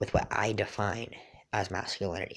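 On a very clean recording, a man's voice stands against a silent background. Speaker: podcast host. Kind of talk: casual chat. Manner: casual, with many filler words.

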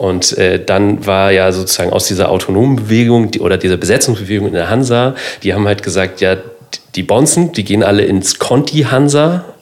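Against noticeable background noise, a man talks at a fairly low pitch and a fairly quick pace. His intonation is lively while his loudness stays very even. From Lower Saxony, northern Germany. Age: 30s. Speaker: cultural centre manager. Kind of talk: casual chat.

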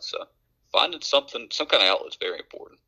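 A man talks at a very fast pace in an Appalachian accent. The sound is dry and close, with no echo. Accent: Appalachian American English. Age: 30s. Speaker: podcast co-host. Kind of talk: casual chat.

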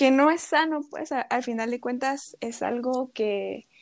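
An unremarkable speaking voice at a fairly slow pace, with ordinary pitch variation, in a very clean recording with a silent background. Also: woman. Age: 20s. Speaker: psychology student. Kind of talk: casual chat.

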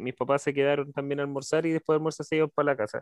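A man speaks at a very fast pace. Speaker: podcast host. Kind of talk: casual chat. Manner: animated.

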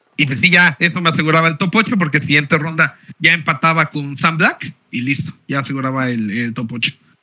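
Bright and sharp in tone, a man speaks at a fairly quick pace. His pitch variation is ordinary. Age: 30s. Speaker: tournament-winning card game player. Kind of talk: interview.

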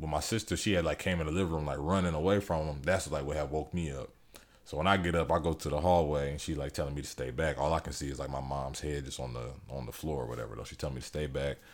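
A man speaks very fast in a very deep, low voice with vocal fry. His pitch varies in an ordinary way. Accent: American. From Ohio, near Cleveland. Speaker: comedian. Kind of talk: casual chat.

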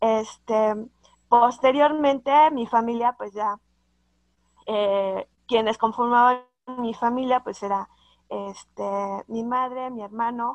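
Recorded dry and close with no echo against a quiet background, a woman with a fairly high pitch speaks at a very slow pace with fairly even intonation, long, frequent pauses and big swings in loudness. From Mexico City, later Hidalgo. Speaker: accountant, association president. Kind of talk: interview. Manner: halting, many fillers.

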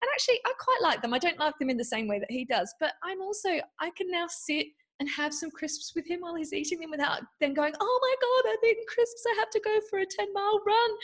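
With an Australian accent, a woman speaks at a very fast pace in an extremely high pitch with very wide pitch swings. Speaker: mindful eating guide and meditation teacher. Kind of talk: podcast interview.

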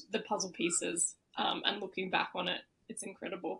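A woman speaks with an Australian accent and ordinary pitch variation. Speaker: podcast host. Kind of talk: casual interview chat.

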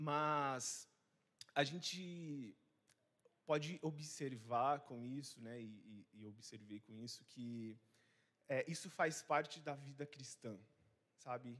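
Very slow and marked by long, frequent pauses, a man's fairly high voice shows ordinary pitch variation and big swings in loudness. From Rondônia, Brazil. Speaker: missionary preacher. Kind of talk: sermon. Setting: church service. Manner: hesitant, many fillers.

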